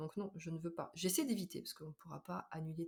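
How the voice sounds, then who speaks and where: Speaking at a fairly quick pace, a woman with a fairly low pitch sounds somewhat breathy and uses ordinary pitch variation. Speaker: podcaster and nurse. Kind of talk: casual monologue. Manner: fast; hesitant with fillers.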